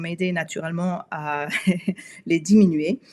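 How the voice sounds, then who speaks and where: A woman speaks at a medium pitch. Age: 50s. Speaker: wellness coach. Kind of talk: live webinar talk. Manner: halting, many hesitations.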